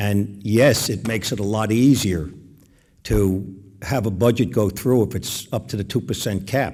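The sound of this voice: Speaking at a fairly slow pace, a man has a fairly low pitch, a slightly mellow tone and ordinary pitch variation.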